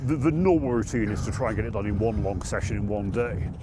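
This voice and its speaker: Music behind a man talking fairly quickly. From southwest England. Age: 60s. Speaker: snow artist. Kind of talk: interview. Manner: halting.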